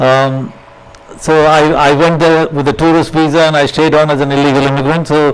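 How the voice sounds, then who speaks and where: This man talks at a fairly quick pace in a fairly high, monotone, flat voice with very even loudness. Audible room echo and noticeable background noise fill the recording. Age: 70s. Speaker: social worker. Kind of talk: lecture. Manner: halting.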